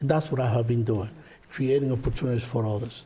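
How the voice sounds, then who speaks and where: A man's voice sits at a medium pitch with ordinary pitch variation, sounding somewhat breathy with a dark, mellow tone. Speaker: political candidate, lawyer. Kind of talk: closing statement.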